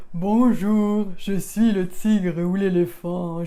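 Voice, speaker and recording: In a put-on character voice at middle pitch, the speaker goes at a very slow pace. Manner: dark, somber.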